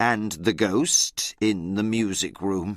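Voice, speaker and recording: A man's put-on character voice on a very clean recording with a silent background. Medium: read story. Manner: simple, slow learner-level English.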